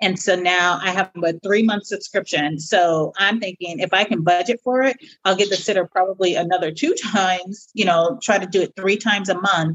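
A woman with an ordinary speaking voice talks at a medium pitch with ordinary pitch variation. Her pace is moderate, with hardly any pauses. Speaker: podcast co-host, single mother by choice. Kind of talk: casual chat.

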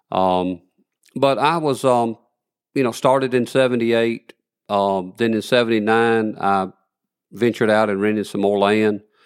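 In a Southern US accent, a man of medium pitch speaks at a moderate pace with fairly even intonation and long, frequent pauses. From northern Alabama. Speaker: cotton gin field rep. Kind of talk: casual interview.

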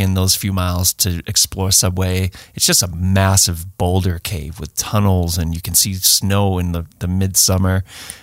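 A man with a Boston accent speaks in a very deep, low voice at a moderate pace, with hardly any pauses. His intonation stays monotone and flat. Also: very clean recording, silent background. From Boston area. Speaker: hiking and search and rescue podcast host. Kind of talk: casual chat.

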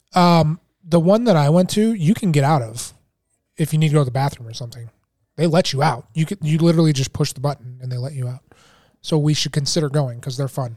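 A man with a fairly high pitch and a dark, mellow tone speaks very fast, somewhat breathy, with ordinary pitch variation and a dry, close sound with no echo. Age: 30s. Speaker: podcast co-host, therapist. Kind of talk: casual chat.

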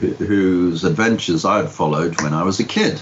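Over noticeable background noise, a man talks in a very deep, low voice. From Liverpool, England. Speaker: comic writer. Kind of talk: interview.

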